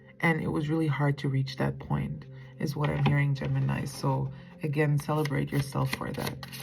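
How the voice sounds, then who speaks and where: A woman talks at a moderate pace while noticeable background noise can be heard. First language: not English. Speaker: tarot reader. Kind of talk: tarot reading monologue. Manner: casual, hesitant with fillers.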